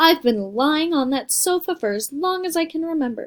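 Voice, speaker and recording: A woman's put-on character voice at an extremely high pitch, with very wide pitch swings and a moderate pace. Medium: read story. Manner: cool, terse.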